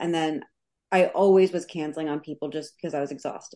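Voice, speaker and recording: In a New York accent, a woman speaks at a moderate pace with a fairly low pitch. Her intonation is monotone and flat, against a quiet background. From New York City (Queens). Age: 30s. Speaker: life coach. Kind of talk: casual interview.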